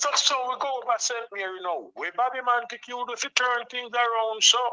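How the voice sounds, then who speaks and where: A Jamaican accent amid noticeable background noise. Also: moderate pace. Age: 70s. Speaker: caller. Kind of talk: political call-in rant. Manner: animated.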